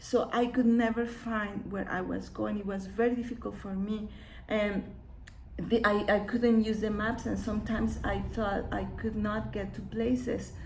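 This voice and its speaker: With audible room echo, a woman in a Mexican accent speaks at a moderate pace. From Mexico. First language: Spanish. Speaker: children's book author and illustrator. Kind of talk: live-streamed book read aloud with comments. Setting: live video stream from her studio.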